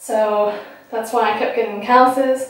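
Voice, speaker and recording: Against a quiet background with strong room echo, a woman speaks with ordinary pitch variation. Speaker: fitness vlogger. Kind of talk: casual vlog chat. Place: home room. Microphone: camera far.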